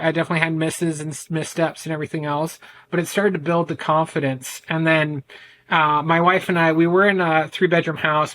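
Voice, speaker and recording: Loud and bright with a sharp tone, a man with an American accent speaks at a fairly high pitch in a monotone, flat intonation. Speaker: men's ADHD coach. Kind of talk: podcast interview.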